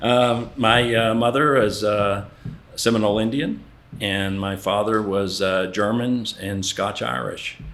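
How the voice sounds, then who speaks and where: Over noticeable background noise and audible room echo, a man with an American accent speaks fairly slowly at a fairly low pitch with ordinary pitch variation. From US, Oklahoma (Ardmore). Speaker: art collector. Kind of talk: interview. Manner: halting, many fillers.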